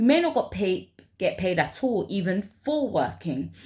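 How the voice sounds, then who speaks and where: In a London accent, a woman speaks at a moderate pace in a somewhat breathy, medium-pitched voice with lively intonation. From London, England. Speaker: vlogger. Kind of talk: personal vlog monologue. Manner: halting, with many fillers.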